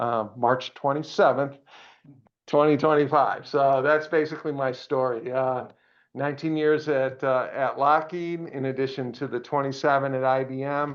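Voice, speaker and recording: Speaking at a moderate pace in an American accent, the voice stays monotone with flat intonation. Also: man. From Pennsylvania. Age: 60s. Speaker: retired engineer and radio amateur. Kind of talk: presentation to a club. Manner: halting, many fillers.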